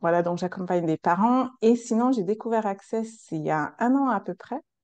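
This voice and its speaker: A woman's fairly high pitch with ordinary pitch variation, a slight non-native accent and a moderate pace, in a dry, close sound with no echo. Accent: foreign accent, slight. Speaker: coach and practitioner. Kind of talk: casual interview. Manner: hesitant, many fillers.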